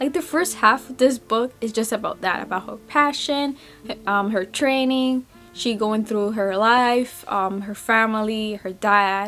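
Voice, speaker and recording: A woman with a non-native accent talks at a fairly slow pace in a fairly high pitch, with a bright, sharp tone and ordinary pitch variation. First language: not English. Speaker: book vlogger. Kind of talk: casual book review vlog. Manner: halting, self-correcting.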